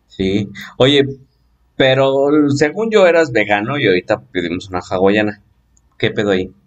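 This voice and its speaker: Using a Mexican accent, a man talks at a moderate pace and a fairly low pitch, with lively intonation and long, frequent pauses. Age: 20s. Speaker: podcast host. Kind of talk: casual chat. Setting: home-made studio.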